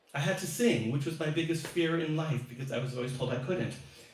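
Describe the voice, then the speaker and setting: With ordinary pitch variation, a man talks amid noticeable background noise and audible room echo. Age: 60s. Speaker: singer-songwriter. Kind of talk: casual chat. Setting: live stream.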